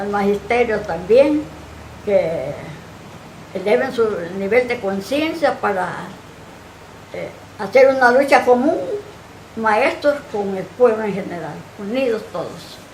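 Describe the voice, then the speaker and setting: In a Honduran accent, a woman with a fairly high pitch and lively intonation speaks at a very slow pace with long, frequent pauses and big swings in loudness, over noticeable background noise and audible room echo. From Honduras, El Progreso. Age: 80s+. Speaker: retired teacher and activist. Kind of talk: TV interview.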